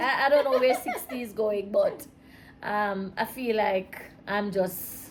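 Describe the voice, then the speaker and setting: Against noticeable background noise, a woman speaks at a high pitch with lively intonation. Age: 60s. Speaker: mother of the host, married woman. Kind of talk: casual chat. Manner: soft-spoken.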